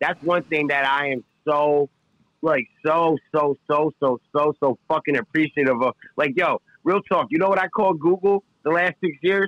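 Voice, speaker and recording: With a New York accent, a man speaks at a fairly high pitch with ordinary pitch variation and very even loudness, in a dry, close sound with no echo. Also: moderate pace. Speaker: podcast guest. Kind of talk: casual chat.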